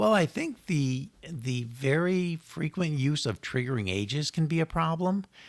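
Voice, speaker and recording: A man with an American accent and a fairly high pitch has a plain, everyday voice with lively intonation. He leaves hardly any pauses, in a very clean recording with a silent background. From Connecticut, US. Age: 60s. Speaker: estate planning lawyer. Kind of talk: podcast interview.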